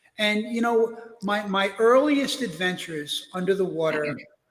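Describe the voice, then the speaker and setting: In a New York accent, a man speaks with a high pitch. His intonation is lively. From US Northeast (Brooklyn, New York). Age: 60s. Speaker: wreck diver and author. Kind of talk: interview storytelling. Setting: live stream interview.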